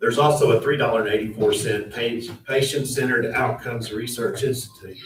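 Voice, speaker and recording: A man with an American accent, medium pitch, fairly even intonation and a fairly quick pace. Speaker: county official. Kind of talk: public meeting. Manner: fast.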